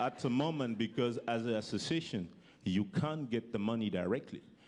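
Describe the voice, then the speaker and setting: In a French accent, a man with medium pitch speaks with lively intonation. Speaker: youth entrepreneur, former basketball player. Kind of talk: panel talk. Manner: halting.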